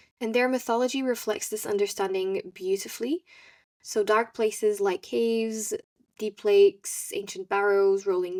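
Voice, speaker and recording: In a very clean recording with a silent background and a dry, close sound without echo, a woman with a non-native accent speaks at a moderate pace, fairly high in pitch, with ordinary pitch variation. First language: not English. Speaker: podcast host. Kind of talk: solo podcast monologue. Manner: hesitant, with self-corrections.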